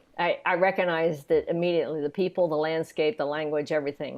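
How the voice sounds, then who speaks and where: A woman's fairly low voice in a Southern accent at a very fast pace. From US South, Atlanta and East Tennessee. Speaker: composer. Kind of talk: interview conversation.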